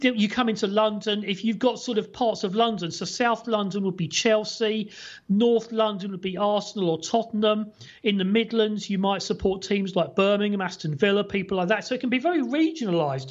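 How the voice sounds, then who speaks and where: A man with an English accent speaks in a high pitch. His pace is fairly quick and his pitch variation ordinary. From England. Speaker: former sports TV presenter, fan blogger. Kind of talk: casual chat.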